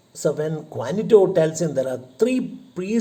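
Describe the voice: Here is plain reading aloud. The intonation is lively.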